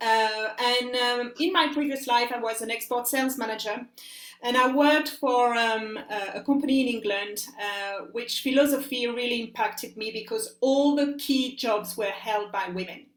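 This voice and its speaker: A high-pitched woman with a French accent, moderate pace and ordinary pitch variation, with audible room echo. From France. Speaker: life coach. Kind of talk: interview. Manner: hesitant, many fillers.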